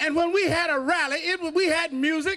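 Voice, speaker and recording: In a raised, projected voice, a man speaks at an extremely high pitch with an animated tone. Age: 70s. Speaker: pastor and civil rights activist. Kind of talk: rally speech. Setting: outdoor rally with crowd. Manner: loud.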